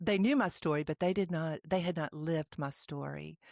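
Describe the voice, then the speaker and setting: On a very clean recording with a silent background and a dry, close sound with no echo, a woman in a Southern US accent speaks at a very deep, low pitch and a moderate pace with fairly even intonation. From Mississippi. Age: 60s. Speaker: podcast co-host, recovery coach. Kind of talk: casual discussion. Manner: halting, with many fillers.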